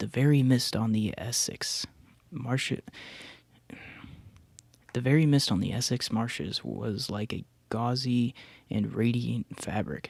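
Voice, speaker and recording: Someone whispers at a very slow pace. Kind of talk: read story. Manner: whispered.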